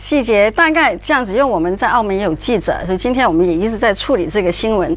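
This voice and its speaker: Barely pausing, a woman with a Cantonese accent talks at a very fast pace in a fairly high pitch with very wide pitch swings. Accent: Cantonese-accented Mandarin. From Hong Kong. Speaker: journalist. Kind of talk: talk show discussion. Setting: studio. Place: studio.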